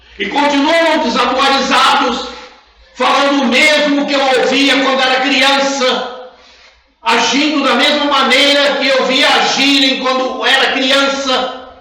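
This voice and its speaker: Clear background noise is present. The words come out very slowly. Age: 80s+. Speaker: spiritist study group leader. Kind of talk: religious study talk.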